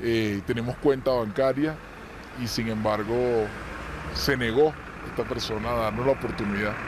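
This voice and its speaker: A medium-pitched man with a Venezuelan accent, amid noticeable background noise. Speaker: Venezuelan immigrant interviewee. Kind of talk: interview testimony.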